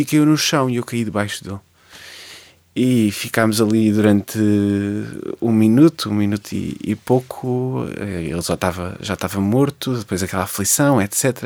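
At a moderate pace and medium pitch, a man talks with ordinary pitch variation in a dry, close sound with no echo, on a very clean recording with a silent background. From Portugal, Lisbon area (Cascais line). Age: 20s. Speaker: poet and history teacher. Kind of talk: radio interview. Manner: halting, many repetitions.

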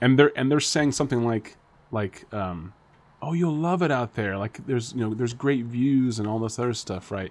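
A plain, everyday voice from a man, medium-pitched with ordinary pitch variation at a moderate pace, in a very clean recording with a silent background. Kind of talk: casual chat.

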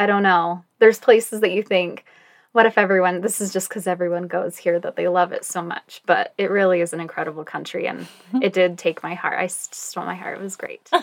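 In an unremarkable speaking voice, a woman with an American accent talks at a fairly quick pace and medium pitch, her intonation fairly even and her loudness swinging widely. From Utah. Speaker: marketing manager and photographer. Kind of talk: casual storytelling interview.

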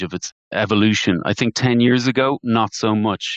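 A man speaks with an Irish accent in a fairly low pitch. The sound is dry and close with no echo, and the background is quiet. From Ireland. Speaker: private debt investment partner. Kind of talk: interview.

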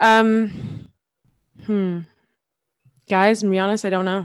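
A woman with an American accent speaks at a medium pitch. The recording is very clean, with a silent background. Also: dry, close sound with no echo. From Brooklyn, New York. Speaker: quiz contestant, part-time substitute teacher. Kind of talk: quiz game casual chat. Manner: hesitant.

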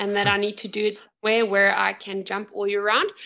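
A woman speaks in a fairly high-pitched voice. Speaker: skydiving drop zone owner. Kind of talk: casual chat.

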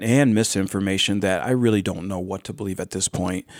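A man with a Western New York accent, fairly quick pace and ordinary pitch variation, on a very clean recording with a silent background. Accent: Western New York American. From Orleans County, western New York. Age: 60s. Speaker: hemp farmer. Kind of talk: casual chat. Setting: studio. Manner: energetic.

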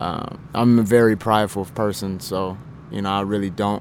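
A man with an American accent has an unremarkable speaking voice, pitched fairly low, with fairly even intonation. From Indiana, Indianapolis. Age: 20s. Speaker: aspiring actor and dancer. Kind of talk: interview. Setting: drop-in center.

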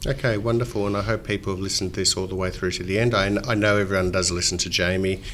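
A man talks at a very fast pace with fairly even intonation. Noticeable background noise runs behind him. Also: fairly low pitch for a man. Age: 50s. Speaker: financial adviser podcast host. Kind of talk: interview.

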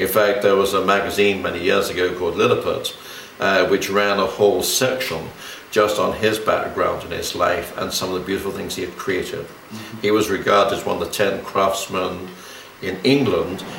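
The man keeps to a moderate pace while music sounds behind him. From London. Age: 70s. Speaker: pagan exorcist. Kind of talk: interview. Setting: radio studio.

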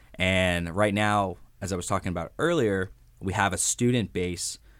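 On a very clean recording with a silent background, a man has an unremarkable speaking voice, fairly low in pitch with ordinary pitch variation. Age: 20s. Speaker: university social media manager. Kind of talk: interview. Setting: studio.

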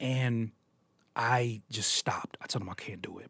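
A man's voice in a very clean recording against a silent background. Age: 30s. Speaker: music producer and rapper. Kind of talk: casual interview. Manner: halting.

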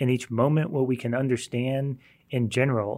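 At a moderate rate comes a normal speaking voice. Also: man. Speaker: Bible teacher. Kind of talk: Bible study discussion.

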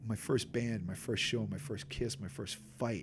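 Somewhat breathy, a man with a Boston accent talks at a moderate pace. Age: 40s. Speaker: hardcore band bassist and singer. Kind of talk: casual chat. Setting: in person. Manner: animated, with impressions.

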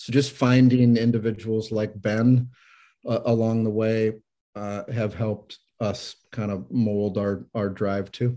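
A man with an American accent speaks in a monotone, flat intonation at a fairly slow pace, his medium-pitched voice having a dark, mellow tone. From Iowa, US Midwest. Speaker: business owner. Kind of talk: interview.

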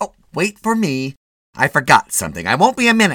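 This man uses a put-on character voice. It is high-pitched and fairly quick. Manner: scolding, impatient.

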